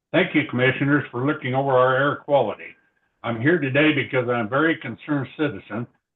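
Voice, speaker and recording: A man talks at a very fast pace with an American accent. His pitch is medium and his intonation fairly even. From Colorado. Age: 70s. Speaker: public commenter. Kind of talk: public comment at hearing.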